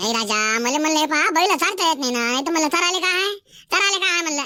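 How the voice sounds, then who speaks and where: The speaker uses a cartoonish character voice pitched high. The pace is moderate. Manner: boastful, scheming.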